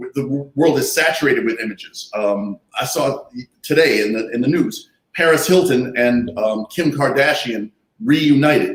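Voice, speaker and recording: Speaking at a moderate pace, a man has an unremarkable speaking voice with a fairly high pitch and lively intonation. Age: 60s. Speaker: artist and activist. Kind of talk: panel discussion.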